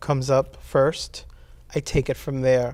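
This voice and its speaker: With a Spanish accent, a man speaks very slowly at a medium pitch. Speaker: poet. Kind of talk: interview. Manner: halting, many fillers.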